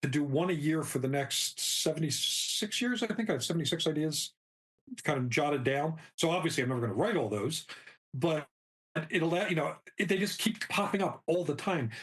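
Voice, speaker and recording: A man with a plain, everyday voice, talking at a moderate pace. His pitch sits fairly high, with lively intonation and very even loudness. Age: 60s. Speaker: novelist. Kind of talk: interview.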